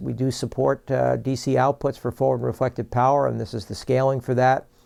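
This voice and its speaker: This man has a dark, mellow tone at a medium pitch and speaks in a New York accent. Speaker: product presenter for a broadcast equipment maker. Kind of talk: product tutorial. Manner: fast; halting, many fillers.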